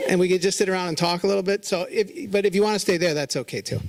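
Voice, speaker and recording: Against noticeable background noise, a man with an American accent talks very fast with fairly even intonation. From Southern California. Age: 60s. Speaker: fashion retailer. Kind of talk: lecture. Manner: casual, halting.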